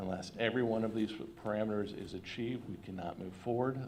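Amid audible room echo, a man talks at a fairly quick pace with fairly even intonation and a fairly low pitch. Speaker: financial advisor presenting bond sale. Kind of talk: formal presentation to school board. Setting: public school board meeting. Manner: fast.

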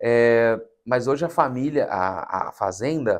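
A man talks at a very slow pace in a medium pitch. His pitch varies in an ordinary way against a quiet background. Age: 30s. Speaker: documentary film director; interview guest. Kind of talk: interview. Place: studio.

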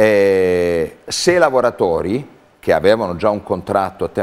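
This man's voice sits fairly low. His intonation is lively. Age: 50s. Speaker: theatre artistic director. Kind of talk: interview. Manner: halting. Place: studio. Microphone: lapel.

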